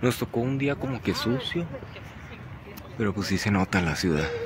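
A man speaks at a moderate pace in a dry sound with no echo. Noticeable background noise is present. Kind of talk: casual vlog chat. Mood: relaxed, chatty. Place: open country. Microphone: phone near.

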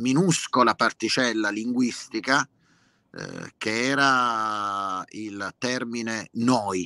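In a dry, close sound with no echo, a man speaks in a bright, sharp tone at medium pitch with ordinary pitch variation. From Lecce, southern Italy. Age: 50s. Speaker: singer-songwriter. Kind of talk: interview conversation.

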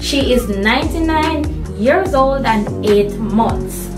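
Clear background music beneath a woman's voice. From Jamaica. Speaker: YouTube host, interviewer. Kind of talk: casual talk to camera. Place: home room. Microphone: phone near.

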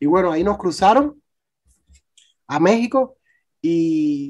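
The speaker has a Cuban accent. The pace is fairly slow. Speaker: youtuber and migrant. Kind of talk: testimony. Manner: halting.

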